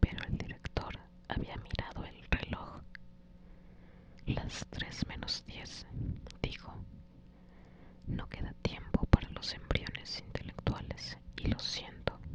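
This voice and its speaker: Whispering in a calm tone, the speaker goes at a very slow pace with long, frequent pauses over noticeable background noise. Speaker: ASMR creator. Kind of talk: ASMR audiobook reading. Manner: whispered, soft, calm.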